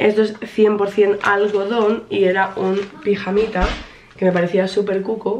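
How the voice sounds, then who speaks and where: A woman talks with monotone, flat intonation. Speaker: vlogger. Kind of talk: casual vlog chat. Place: home room. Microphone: camera far.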